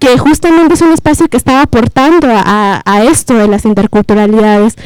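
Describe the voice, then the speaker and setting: A woman speaks at a fairly quick pace. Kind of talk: panel discussion.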